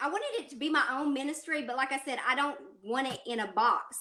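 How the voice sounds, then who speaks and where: At a fairly quick pace, a woman speaks in a raised, projected voice with a high pitch. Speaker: podcast host and ministry leader. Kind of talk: interview.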